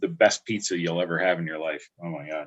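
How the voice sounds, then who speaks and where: American-accented male speech, in an American accent. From upstate New York (Albany area, Catskills). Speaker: livestream host. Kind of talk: casual chat. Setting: livestream.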